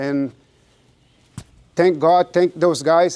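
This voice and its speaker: In a Brazilian accent, a man speaks fairly slowly at a fairly high pitch, his tone dark and mellow and his intonation fairly even, in a dry, close sound with no echo on a very clean recording with a silent background. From Brazil, Rio de Janeiro. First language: Portuguese. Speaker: jiu-jitsu practitioner. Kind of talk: speech at ceremony. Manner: halting.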